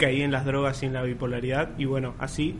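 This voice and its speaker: A man with a fairly high voice talks at a very fast pace over noticeable background noise, with audible echo in the room. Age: 20s. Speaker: podcast co-host, psychology student. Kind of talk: casual chat.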